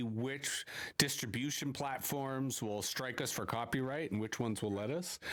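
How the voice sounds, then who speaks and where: A man with a Canadian accent and an unremarkable speaking voice talks at a medium pitch with ordinary pitch variation. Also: very clean recording, silent background. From Canada, Toronto. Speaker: podcast host. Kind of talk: interview. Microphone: poor audio quality.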